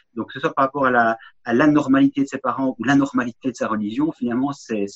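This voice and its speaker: A man's voice in a dry, close sound with no echo. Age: 50s. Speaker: podcast guest, author. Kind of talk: casual conversation. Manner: halting, many repetitions.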